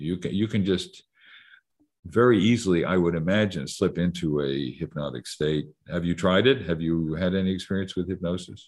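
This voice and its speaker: A man with a very deep, low pitch against a quiet background. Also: ordinary pitch variation, moderate pace. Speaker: psychiatrist and professor. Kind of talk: interview.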